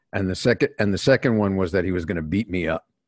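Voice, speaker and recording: In a New York accent, a man talks at a fairly quick pace with a very deep, low pitch and ordinary pitch variation, the sound dry and close with no echo against a quiet background. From New York City, working class. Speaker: executive coach and author. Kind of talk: interview.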